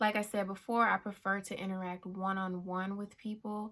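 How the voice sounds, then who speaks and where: A woman speaks at a medium pitch in a calm tone. She is soft-spoken. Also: very clean recording, silent background. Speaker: YouTuber. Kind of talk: personal vlog talk. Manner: calm, soft-spoken.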